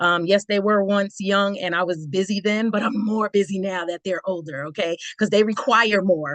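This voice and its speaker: Moderate pace, with noticeable background noise. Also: woman. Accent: American. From Roosevelt, New York. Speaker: business partner. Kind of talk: testimony.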